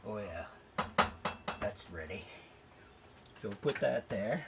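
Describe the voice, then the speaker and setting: A man speaks at a fairly slow pace with an American accent. Noticeable background noise can be heard. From New York. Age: 70s. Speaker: home cooking video host. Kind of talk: cooking tutorial. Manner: casual, chatty.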